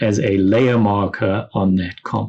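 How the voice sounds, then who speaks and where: Against a quiet background, a man with a fairly low pitch uses a plain, everyday voice and fairly even intonation. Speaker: software instructor. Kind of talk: tutorial. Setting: classroom lesson with students.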